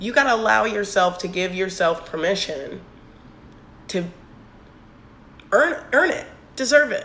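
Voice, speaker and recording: A woman talks at a moderate pace and medium pitch with lively intonation. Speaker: business owner, network marketer. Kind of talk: Instagram live talk with sales pitch. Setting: Instagram live stream.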